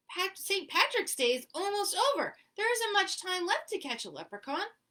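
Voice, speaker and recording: Squeaky and extremely high, a woman's put-on character voice moves at a moderate pace. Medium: read story. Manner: easygoing, cool.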